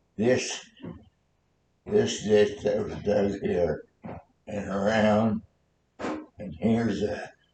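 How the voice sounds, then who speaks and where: Breathy to a degree and dark and mellow in tone, a man's fairly low voice moves at a very slow pace with long, frequent pauses and fairly even intonation. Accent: American. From Nebraska. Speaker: war veteran. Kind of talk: interview answer.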